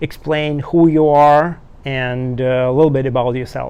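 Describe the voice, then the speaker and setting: In a Russian accent, a man speaks with a fairly high pitch and fairly even intonation. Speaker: soldier and YouTuber. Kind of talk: interview. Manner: halting, non-native phrasing.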